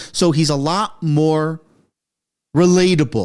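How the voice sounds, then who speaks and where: Fairly high in pitch, a man speaks in an animated tone. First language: French. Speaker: political commentary youtuber. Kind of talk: reaction commentary.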